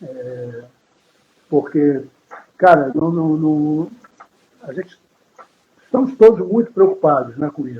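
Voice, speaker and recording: The pace is very slow. The intonation is lively. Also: man. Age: 60s. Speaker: guitarist. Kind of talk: interview.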